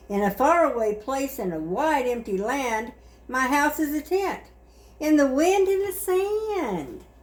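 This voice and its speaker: Against noticeable background noise, a woman talks fairly slowly in a high pitch with very wide pitch swings. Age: 70s. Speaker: grandmother reading stories. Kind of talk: children's book read-aloud.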